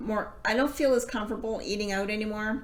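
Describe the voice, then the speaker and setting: Here a woman speaks at a fairly high pitch. Her intonation stays fairly even. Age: 50s. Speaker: weight loss vlogger. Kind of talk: casual talk to camera.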